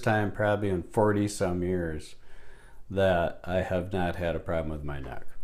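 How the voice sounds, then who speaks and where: Speaking at a moderate pace, a man with a very deep, low voice is heard in audible room echo. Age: 60s. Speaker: chiropractic patient. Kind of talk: testimony. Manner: halting.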